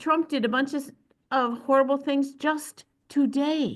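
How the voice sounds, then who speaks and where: A woman's high voice at a fairly slow pace. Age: 70s. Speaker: audience participant in online discussion. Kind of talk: casual group discussion.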